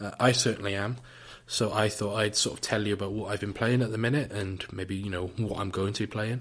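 Man with a British accent, fairly low in pitch, flat and monotone, at a fairly quick pace. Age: 20s. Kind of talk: casual solo talk. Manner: hesitant, filler-heavy.

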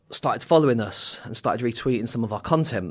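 Ordinary pitch variation marks this man's speech in an English accent. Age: 40s. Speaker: recovering addict, charity campaigner. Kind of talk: interview conversation. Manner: hesitant, many fillers.

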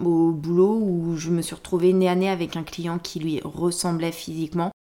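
This woman has a fairly low pitch and a dark, mellow tone. She speaks at a moderate pace. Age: 30s. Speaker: podcast guest sharing personal experience. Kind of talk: casual chat.

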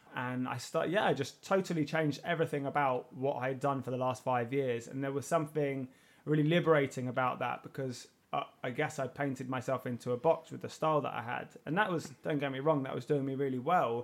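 A man with a London accent talks at a fairly quick pace and fairly high pitch, his intonation fairly even. The recording is very clean with a silent background. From South London. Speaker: artist and podcast host. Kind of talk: interview.

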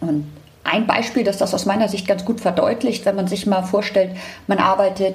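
A woman's medium-pitched voice at a fairly quick pace, fairly even intonation, noticeable background noise. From Hamburg, northern Germany. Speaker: tech company director. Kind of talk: interview.

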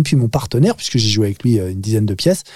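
In a very clean recording with a silent background, a man speaks in a dark, mellow, somewhat breathy tone with ordinary pitch variation. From France, Paris suburbs (Nanterre). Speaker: actor. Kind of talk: casual chat. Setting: studio.

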